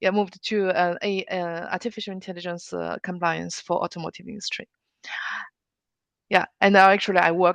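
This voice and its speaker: A woman's fairly quick, monotone delivery with flat intonation against a quiet background. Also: dry, close sound with no echo. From China. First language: Chinese. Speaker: automotive AI compliance expert. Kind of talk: interview. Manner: halting, many fillers.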